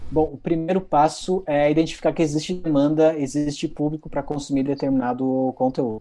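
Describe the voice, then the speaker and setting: A man with a fairly high pitch and a dark, mellow tone talks at a fairly quick pace with hardly any pauses. His intonation stays fairly even. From Rio Grande do Sul, Brazil (Santiago, interior near Argentina). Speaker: content marketing head, journalist. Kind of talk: interview.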